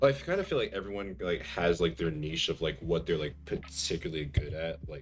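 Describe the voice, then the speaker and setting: Over music in the background, a man with a very deep, low pitch talks at a fairly quick pace with hardly any pauses and ordinary pitch variation. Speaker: streamer and aspiring voice actor. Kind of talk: casual chat while gaming. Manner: relaxed, many fillers.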